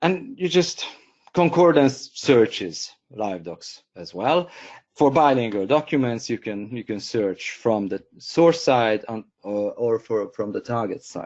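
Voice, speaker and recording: With a Hungarian accent, this speaker talks at a fairly slow pace, using lively intonation and big swings in loudness. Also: man, medium pitch for a man. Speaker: software company co-founder and trainer. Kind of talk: webinar tutorial. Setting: online webinar. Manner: hesitant, many fillers and repeats.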